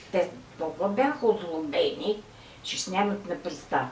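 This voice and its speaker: The speech moves at a fairly slow pace with very wide pitch swings. Noticeable background noise and audible room echo are present. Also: woman. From Bulgaria, Novi Pazar. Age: 90s. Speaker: war veteran. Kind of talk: testimony. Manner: halting.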